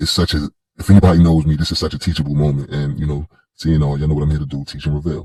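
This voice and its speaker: A man talks very fast with a very deep, low pitch and a dark, mellow, somewhat breathy tone. His intonation is monotone and flat, and the sound is dry and close with no echo. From Queens, New York (South Jamaica). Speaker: commentary vlogger. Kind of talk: monologue commentary. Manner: halting, many fillers and restarts.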